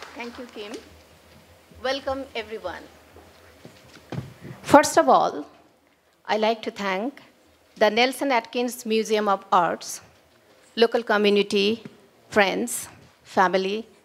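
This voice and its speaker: A woman's fairly high voice at a very slow pace, with long, frequent pauses, ordinary pitch variation and noticeable background noise. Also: big swings in loudness. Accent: Bengali. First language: Bengali. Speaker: author and lyricist. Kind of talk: event speech.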